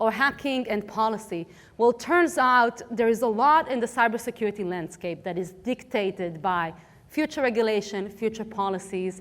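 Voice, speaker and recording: Speaking with an Israeli accent, a woman uses a fairly high pitch and lively intonation. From Israel, Tel Aviv. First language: Hebrew. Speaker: cybersecurity policy expert, conference speaker. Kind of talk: conference talk.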